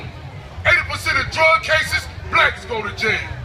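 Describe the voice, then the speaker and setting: Crowd noise fills the background. Over it, a man with an extremely high pitch talks at a fairly slow pace. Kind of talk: spoken word poetry performance.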